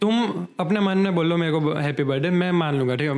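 A man with a plain, everyday voice speaks at a moderate pace, his pitch fairly high and varying in an ordinary way. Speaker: podcast co-host. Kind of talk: casual chat.

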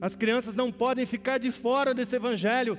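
Noticeable background noise sits behind this man's voice. His pitch is extremely high and his pace moderate. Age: 50s. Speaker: pastor. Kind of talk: sermon. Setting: church.

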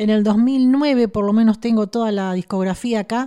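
A woman with a fairly high pitch and a dark, mellow tone speaks at a fairly slow pace with ordinary pitch variation. The recording is very clean with a silent background. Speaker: radio host. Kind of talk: radio interview.

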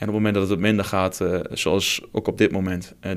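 A man's very deep, low voice in a Twente accent, monotone and flat, at a very fast pace, on a very clean recording with a silent background. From Twente, eastern Netherlands. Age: 20s. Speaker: football club marketing manager. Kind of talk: casual interview. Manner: hesitant with frequent fillers and repetitions.

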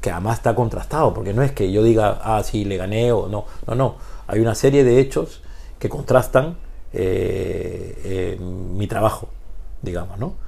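A man's fairly slow speech carries audible echo from the room. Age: 50s. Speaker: basketball coach. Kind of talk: interview conversation. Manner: halting.

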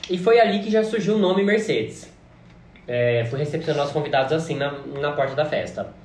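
A man's fairly high pitch and lively intonation over noticeable background noise. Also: fairly quick pace. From interior of São Paulo state, Brazil. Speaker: drag performer and podcast co-host. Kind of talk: casual chat.

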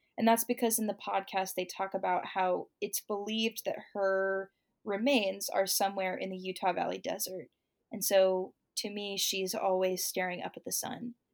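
This woman has an unremarkable speaking voice with medium pitch. She keeps a moderate pace and fairly even intonation. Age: 20s. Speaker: singer-songwriter. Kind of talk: casual chat.

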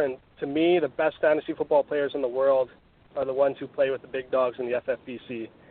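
His voice rises and falls in an ordinary way. The speaker is a man. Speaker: fantasy football writer. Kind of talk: podcast interview. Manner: hesitant, many fillers.

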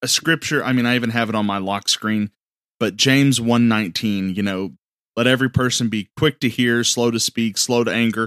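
A man speaks in an ordinary speaking voice at a medium pitch and a moderate pace. The very clean recording has a silent background and a dry, close sound with no echo. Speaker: podcast host. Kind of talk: casual chat.

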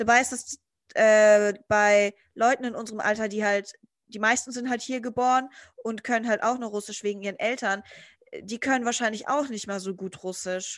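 A woman speaks at a moderate pace in a plain, everyday voice, her fairly high pitch held in a fairly even intonation. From Germany. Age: 20s. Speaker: guest, student-age friend. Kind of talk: casual chat.

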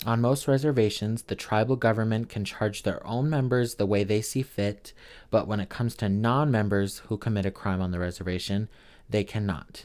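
A man's put-on, robotic character voice, fairly low in pitch, at a moderate pace in a very clean recording with a silent background. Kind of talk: reading aloud from a written essay. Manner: flat, monotone, robotic.

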